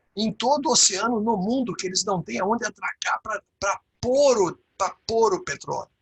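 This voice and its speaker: Lively intonation marks this man's speech at a fairly slow pace. The sound is dry and close, with no echo. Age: 60s. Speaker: leadership consultant and teacher. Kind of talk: webinar talk. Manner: halting, many fillers.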